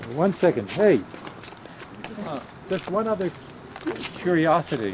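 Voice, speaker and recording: A high-pitched man with an American accent and lively intonation, at a moderate pace, over noticeable background noise. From Pennsylvania, Philadelphia and West Chester. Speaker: family elder giving a tour. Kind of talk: casual reminiscing tour. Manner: halting.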